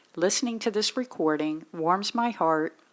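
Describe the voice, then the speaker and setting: In an ordinary speaking voice, a woman talks at a medium pitch with lively intonation on a very clean recording with a silent background. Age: 50s. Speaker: daughter interviewing her father. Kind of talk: casual family interview.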